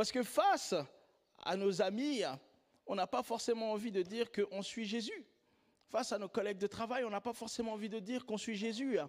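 The speech moves at a moderate pace with fairly even intonation, broken by long, frequent pauses. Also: man, high pitch for a man. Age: 30s. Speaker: pastor. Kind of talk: sermon.

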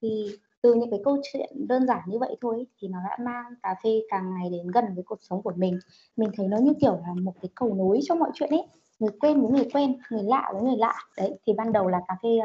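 A woman with a fairly high pitch and a dark, mellow, somewhat breathy tone talks at a moderate pace with lively intonation. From Vĩnh Phúc, northern Vietnam. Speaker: podcast co-host. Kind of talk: casual chat.

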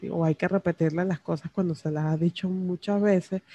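Fairly low-pitched and dark, mellow in tone, a woman's voice at a fairly slow pace, recorded with a dry, close sound and no echo. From Venezuela. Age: 30s. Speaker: personal podcaster. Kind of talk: personal diary monologue. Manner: intimate, close to the mic; halting with fillers and repetitions. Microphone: very close to the microphone.

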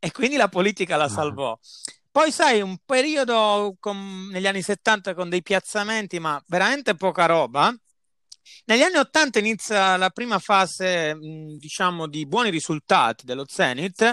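A man's raised, projected voice, high in pitch, bright and sharp in tone, with very wide pitch swings at a moderate pace, in a dry, close sound with no echo on a very clean recording with a silent background. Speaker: football podcast host. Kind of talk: casual chat.

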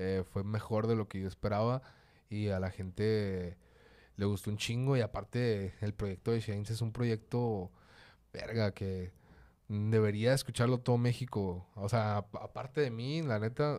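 A man's dark, mellow tone at a fairly low pitch, fairly even in intonation and fairly slow in pace, in a very clean recording with a silent background. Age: 20s. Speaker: rapper. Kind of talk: casual chat.

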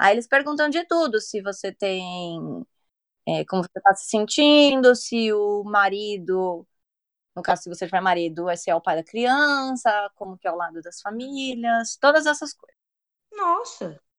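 Fairly high-pitched and dry, close with no echo, a woman speaks at a moderate pace with very wide pitch swings and big swings in loudness. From Brazil, São Paulo. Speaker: podcast guest, mother. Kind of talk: casual chat.

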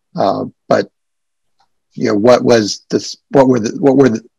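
The recording has dry, close sound with no echo as a man talks with vocal fry and ordinary pitch variation. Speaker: nonprofit executive director. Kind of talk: casual interview conversation.

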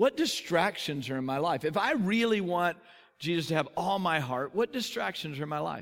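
With a Texan accent, a man speaks at a moderate pace in a high voice full of lively intonation. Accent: Texan American. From Texas. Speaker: pastor. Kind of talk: sermon.

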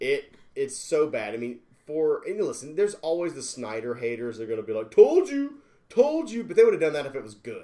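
This man talks fairly quickly. His volume rises and falls a great deal. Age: 40s. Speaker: podcast co-host. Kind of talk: casual chat. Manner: animated.

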